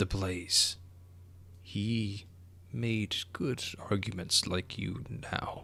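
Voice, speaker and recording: In a put-on character voice with a fairly low pitch, a man speaks at a very slow pace with long, frequent pauses over clear background noise. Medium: actual play. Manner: polite, formal, archaic phrasing.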